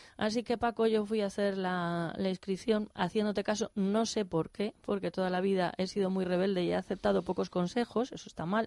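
A woman's medium-pitched voice with a dark, mellow tone, ordinary pitch variation and a moderate pace, dry and close with no echo. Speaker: radio host. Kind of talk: radio interview.

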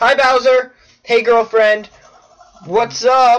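A man does a put-on character voice at an extremely high pitch, speaking very slowly. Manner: cheerful, chatty.

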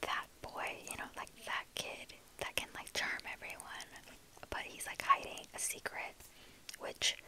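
Whispering at a fairly slow pace, a woman makes big swings in loudness and leaves long, frequent pauses. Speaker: ASMR book vlogger. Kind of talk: casual talk to camera, book review. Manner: chatty, casual.

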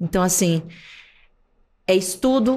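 A woman is heard here. Her voice is of medium pitch. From Brazil. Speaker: actress and TV presenter; podcast guest, actress. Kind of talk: interview conversation. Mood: reflective, warm. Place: studio. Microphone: studio mic.

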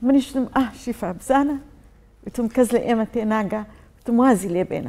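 The voice has a dark, mellow tone. It moves at a fairly quick pace with ordinary pitch variation. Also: woman. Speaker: TV presenter. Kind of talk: panel discussion remembering a colleague. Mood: reflective, emotional remembrance. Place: studio.

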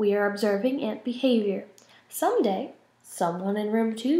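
An unforced reading voice, its pitch rising and falling in an ordinary way

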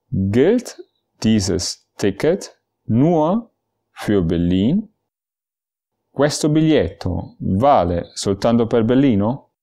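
In a very clean recording with a silent background, the voice has a dark, mellow tone and very even loudness. It moves at a very slow pace with very wide pitch swings and long, frequent pauses. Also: man, medium pitch for a man. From Germany. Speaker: language teacher. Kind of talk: tutorial. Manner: slow, clear phrase-by-phrase delivery.

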